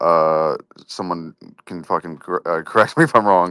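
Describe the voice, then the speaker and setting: A man with a very deep, low pitch and a bright, sharp tone, at a moderate pace with fairly even intonation, dry and close with no echo, on a very clean recording with a silent background. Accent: American. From United States. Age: 20s. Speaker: crypto community host. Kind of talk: casual chat.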